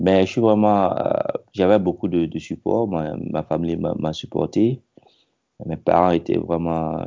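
At a moderate pace, this man talks in a very deep, low pitch. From Burkina Faso. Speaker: network engineer. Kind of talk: interview. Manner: halting, many repetitions.

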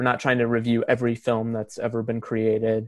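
The delivery is monotone and flat, with a dry, close sound and no echo. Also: man. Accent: American. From Oregon, US. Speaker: film critic and editor. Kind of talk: casual chat. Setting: video call.

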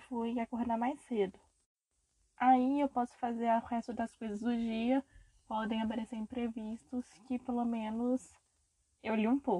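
At a fairly slow pace, a woman speaks in a fairly high, monotone voice with flat intonation and a dry, close sound with no echo. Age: 20s. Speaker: podcast host, recent journalism graduate. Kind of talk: casual monologue introducing podcast.

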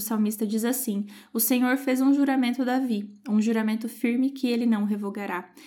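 A woman talks at a fairly quick pace with a fairly high pitch and a dark, mellow tone. Her intonation stays fairly even. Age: 20s. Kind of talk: Bible study talk.

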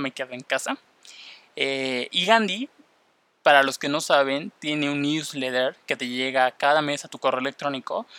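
In a very clean recording with a silent background and a dry, close sound with no echo, a man with a Mexican accent speaks at a fairly slow pace, his pitch fairly high and his tone bright and sharp. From Mexico. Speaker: podcast host. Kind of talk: casual podcast monologue.

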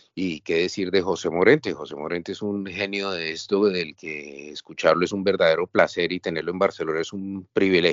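A man with a Colombian accent talks at a fairly quick pace in a very deep, low pitch, with fairly even intonation and big swings in loudness. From Colombia, Bogotá. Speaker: writer and former novice bullfighter. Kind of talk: interview.

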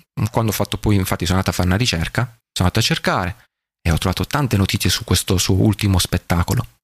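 Speaking at a very fast pace, a man with a fairly low pitch sounds somewhat breathy in a dry, close recording with no echo. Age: 30s. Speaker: podcast host. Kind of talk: solo podcast monologue. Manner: casual, with frequent fillers and repetitions.

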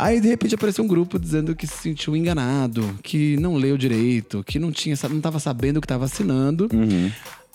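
Fairly high for a man yet dark and mellow in tone, this voice moves at a fairly quick pace with hardly any pauses and very wide pitch swings, recorded very cleanly over a silent background. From São Paulo, Brazil. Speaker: political podcast host. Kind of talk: casual political commentary.

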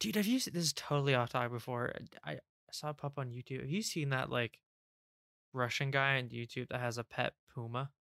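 A soft-spoken man talks at a very fast pace in a bright, sharp tone at medium pitch. His pitch varies in an ordinary way, and the sound is dry and close with no echo. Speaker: industrial design podcast co-host. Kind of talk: casual chat. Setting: online voice call.

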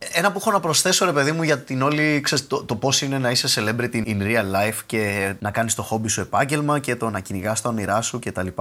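Talking at a fairly quick pace with hardly any pauses, the speaker is heard against noticeable background noise. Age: 30s. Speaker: YouTuber. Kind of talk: casual interview chat. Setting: remote call from his room.

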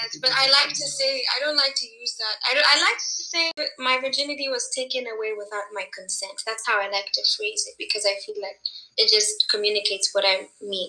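Here a woman speaks with lively intonation. Noticeable background noise is present. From Kenya. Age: 20s. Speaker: entrepreneur and life coach. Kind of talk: casual interview chat.

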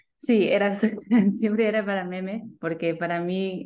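The background is quiet. A woman talks with fairly even intonation. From Sydney, Australia. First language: English (speaking Spanish). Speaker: community founder. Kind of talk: interview. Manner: halting, code-switching to English.

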